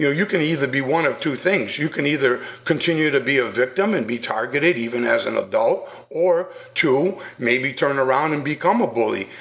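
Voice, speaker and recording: A man speaks with noticeable background noise. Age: 60s. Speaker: bullying prevention speaker and author. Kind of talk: radio interview.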